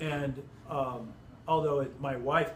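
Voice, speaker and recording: In a room with audible echo, a man talks at a fairly high pitch with fairly even intonation. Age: 60s. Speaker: Bible teacher. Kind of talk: Bible study group discussion. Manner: halting, many self-corrections.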